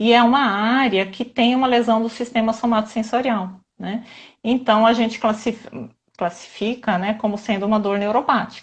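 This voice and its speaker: Somewhat breathy speech in a monotone, flat intonation at a moderate pace. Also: woman, fairly high pitch for a woman. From southern Brazil, Santa Catarina. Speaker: physiotherapist. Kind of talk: live stream interview.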